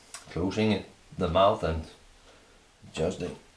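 A man speaks with a very deep, low pitch and ordinary pitch variation, with audible echo in the room. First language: not English. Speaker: woodworker. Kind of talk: casual product review while unboxing and testing. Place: workshop. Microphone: camera far.

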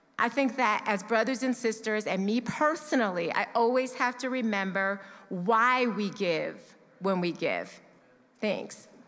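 The speaker goes at a fairly slow pace, with very even loudness and ordinary pitch variation. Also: woman, fairly high pitch for a woman. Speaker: church member sharing testimony on giving. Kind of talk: testimony, personal talk to congregation. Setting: church service. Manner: conversational, candid. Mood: sincere, reflective. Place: church. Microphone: handheld.

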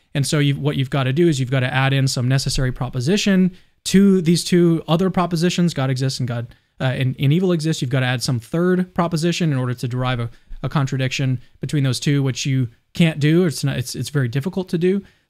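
A fairly high-pitched man at a very fast pace, ordinary pitch variation, quiet background. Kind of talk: casual dialogue on theology. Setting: livestreamed video call. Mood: calm, thoughtful. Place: home room. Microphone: studio mic.

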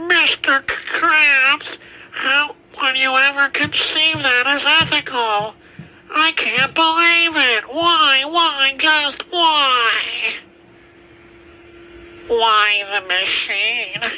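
A high-pitched voice speaks at a very slow pace, broken by long, frequent pauses. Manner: shocked, indignant, pleading.

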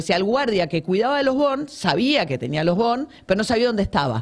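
Against a quiet background, a woman talks at a fairly quick pace with very wide pitch swings. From Argentina. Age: 50s. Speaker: journalist and author; journalist. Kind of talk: interview about her book. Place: studio. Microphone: studio mic.

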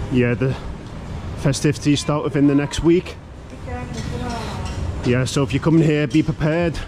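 Over noticeable background noise, a man with a British accent speaks at a fairly slow pace, his fairly high voice showing lively intonation. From Britain. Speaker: travel vlogger. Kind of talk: walkthrough vlog. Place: street. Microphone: phone near.

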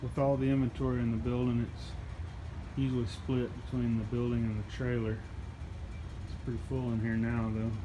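Against noticeable background noise, a man speaks at a fairly quick pace with fairly even intonation. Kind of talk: casual vlog chat. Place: shop. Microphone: phone near.

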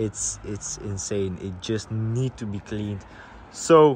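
A man speaks very slowly, in a dry sound with no echo. Loud background noise runs behind him. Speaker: car owner vlogger. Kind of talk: casual vlog chat. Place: street. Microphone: phone near.

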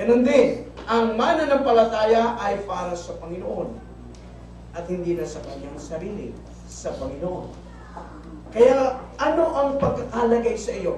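A man talks in an animated tone at a fairly slow pace, with audible room echo and light background noise. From Philippines. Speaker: preacher. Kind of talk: sermon. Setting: church. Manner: animated, rhetorical call-and-response, asking the congregation questions; repeats points for emphasis, mixing Tagalog and English. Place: church. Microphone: camera far.

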